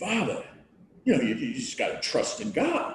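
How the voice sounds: A man does a put-on character voice with a Philadelphia accent at a moderate pace, and the recording carries a clear echo.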